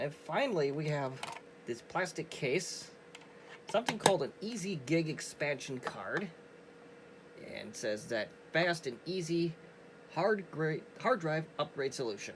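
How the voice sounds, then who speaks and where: A man's fairly high, lively voice at a fairly slow pace with long, frequent pauses, over noticeable background noise. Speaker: retro computing video creator. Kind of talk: tutorial. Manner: casual.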